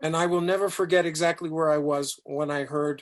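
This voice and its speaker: Moderate pace from a man with an American accent and a fairly high pitch. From New York City, raised partly in Africa. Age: 60s. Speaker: business consultant, guest speaker. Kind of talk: online Q&A talk. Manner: animated.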